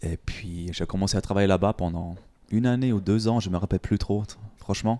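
A man speaks at a moderate pace in a very deep, low voice with a dark, mellow tone and ordinary pitch variation. The recording is very clean, with a silent background and a dry, close sound with no echo. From Germany. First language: German (speaking French). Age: 20s. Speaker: fitness coach and gym owner. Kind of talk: interview. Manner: halting.

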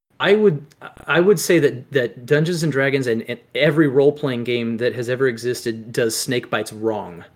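With lively intonation, a man speaks at a medium pitch in a plain, everyday voice. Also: moderate pace. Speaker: tabletop game master and podcaster. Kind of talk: casual chat.

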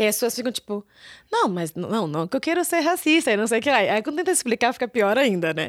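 A woman's fairly high voice at a very fast pace, full of very wide pitch swings. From Brazil, São Paulo. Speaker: marketing director of a travel startup. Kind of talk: casual interview.

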